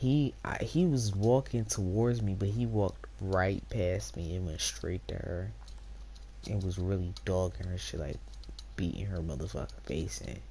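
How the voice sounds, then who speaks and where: A woman speaks at a moderate pace in a very deep, low voice with a dark, mellow tone and vocal fry. Her pitch swings very widely, and the room echo is audible. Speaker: streamer. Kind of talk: casual storytelling to stream chat. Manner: animated.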